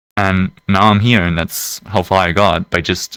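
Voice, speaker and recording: A man speaks with a very deep, low pitch and a bright, sharp tone. The sound is dry and close with no echo, and his intonation stays fairly even. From Germany. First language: German. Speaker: VR world creator. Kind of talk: casual podcast interview.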